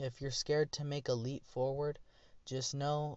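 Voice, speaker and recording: This man's medium-pitched voice comes out somewhat breathy at a moderate pace. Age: 20s. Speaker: vlogger. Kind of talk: personal monologue. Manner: casual, rambling with fillers.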